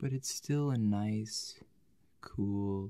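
Against a quiet background, a man speaks at a very slow pace. His tone is calm and soothing, his pitch fairly low. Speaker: ASMR video creator. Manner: calm, tender, soothing role-play pacing. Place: home room.

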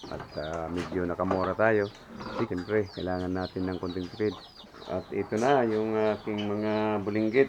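Fairly low in pitch, a man speaks at a moderate pace. His intonation stays fairly even. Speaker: pig farmer and vlogger. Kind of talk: casual vlog tutorial. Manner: hesitant with many fillers.

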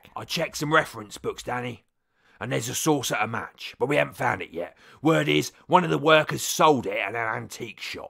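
A put-on character voice, raspy and delivered at a fairly quick pace. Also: man, medium pitch for a man. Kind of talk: comic sketch acting. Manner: touchy, matter-of-fact.

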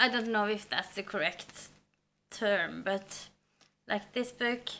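A woman's fairly high, bright, sharp voice in a monotone, flat intonation. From Norway. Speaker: book vlogger. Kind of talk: casual book review vlog. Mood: warm, enthusiastic. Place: home room.

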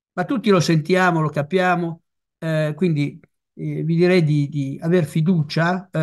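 A man speaks at a high pitch and a fairly slow pace. His intonation is fairly even, and the background is quiet. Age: old. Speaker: retired family doctor; speaker. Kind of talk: talk presentation. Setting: video call. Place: home room. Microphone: video call.

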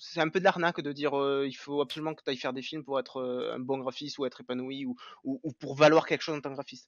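A man with a fairly high pitch talks at a very fast pace, with fairly even intonation and big swings in loudness. The sound is dry with no echo, over a quiet background. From southern France, Béziers; France. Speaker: 3D artist; podcast guest. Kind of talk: interview. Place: home room.

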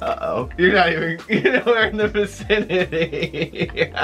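The pace is very slow. Faint music plays in the background. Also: man. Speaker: vlogger. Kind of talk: casual couples challenge vlog talk to camera. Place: home room. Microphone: camera far.

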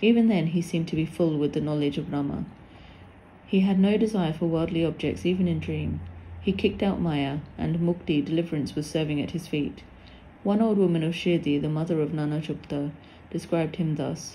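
A woman's very deep, low voice with vocal fry, dark and mellow in tone yet dramatic, at a fairly quick pace with ordinary pitch variation. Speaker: narrator of religious text. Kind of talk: scripted narration, reading aloud a devotional text. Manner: dramatic, reverent, storytelling delivery with wonder and emotion; formal.

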